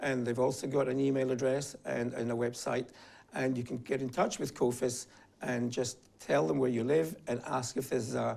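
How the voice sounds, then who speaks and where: Speaking at a moderate pace, a man uses fairly even intonation with vocal fry in his voice. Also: medium pitch for a man. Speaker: advocacy group director. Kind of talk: interview.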